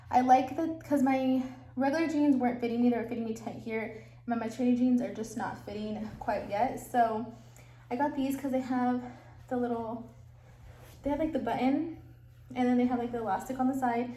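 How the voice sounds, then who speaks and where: Pausing long and often, a woman speaks at a fairly quick pace and high pitch with fairly even intonation, amid noticeable background noise and audible room echo. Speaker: vlogger. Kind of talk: casual vlog talk to camera.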